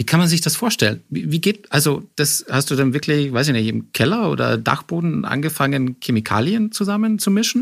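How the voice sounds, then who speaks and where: A man's voice at a moderate pace with very wide pitch swings, very even loudness and hardly any pauses, on a very clean recording with a silent background. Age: 30s. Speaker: podcast host. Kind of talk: interview. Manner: stammering repetitions.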